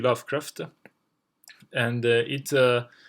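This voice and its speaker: A man with a non-native accent, moderate pace and monotone, flat intonation. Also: very clean recording, silent background. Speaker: video game lore youtuber. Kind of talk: video essay. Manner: halting, many filler words.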